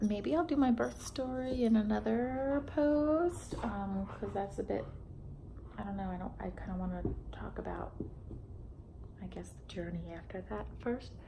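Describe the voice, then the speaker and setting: Amid noticeable background noise and audible room echo, a woman speaks at a fairly slow pace with long, frequent pauses and big swings in loudness. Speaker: vlogger. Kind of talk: personal vlog. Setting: at home beside sleeping baby. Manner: halting, many fillers. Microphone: may be too quiet.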